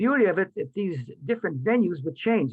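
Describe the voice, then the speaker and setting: Lively intonation runs through this voice. The speaker is a man. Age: 80s+. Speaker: lifeguard, educator and boxing coach. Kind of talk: interview answer. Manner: animated, enthusiastic.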